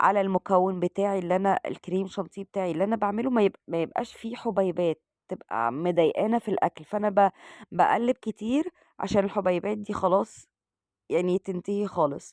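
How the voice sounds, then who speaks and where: A woman speaks in an Egyptian accent. The sound is dry and close, with no echo. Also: medium pitch for a woman, ordinary pitch variation, moderate pace. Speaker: cooking channel host. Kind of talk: cooking tutorial. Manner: halting with fillers.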